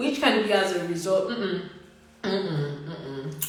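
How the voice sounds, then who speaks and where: Against noticeable background noise, the speaker talks fairly slowly in an animated tone. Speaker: writing tutor hosting live session. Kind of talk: interactive online tutorial. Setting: Instagram live stream.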